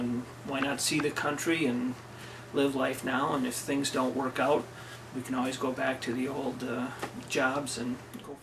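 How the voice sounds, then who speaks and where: A man at a medium pitch and moderate pace, monotone and flat, with audible room echo and noticeable background noise. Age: 50s. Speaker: workamper. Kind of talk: interview.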